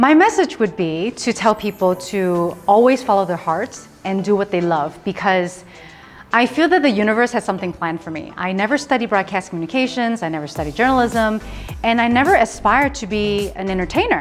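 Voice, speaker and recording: With music in the background, the voice moves at a fairly quick pace with lively intonation. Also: woman, medium pitch for a woman. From Hong Kong, raised in small-town USA. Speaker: TV presenter and MC. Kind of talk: interview answer.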